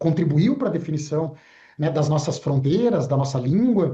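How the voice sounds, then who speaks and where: With a dark, mellow tone, his fairly high-pitched voice comes through as that of a man. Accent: southern Brazilian. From southern Brazil (Rio Grande do Sul). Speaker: broadcasting association executive. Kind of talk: TV interview. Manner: halting, with fillers.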